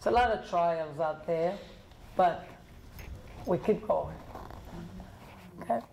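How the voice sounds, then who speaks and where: Over noticeable background noise, a woman with a fairly low pitch and lively intonation speaks at a very slow pace, with long, frequent pauses. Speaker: author and inspirational speaker. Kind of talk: talk with audience Q&A. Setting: library event with audience.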